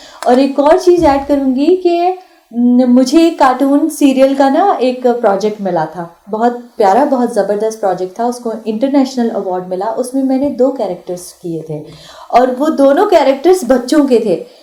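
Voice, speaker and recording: Against noticeable background noise, a woman speaks at a high pitch with very wide pitch swings. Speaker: actress and voice artist. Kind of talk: radio interview. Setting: radio studio. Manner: sweet-toned.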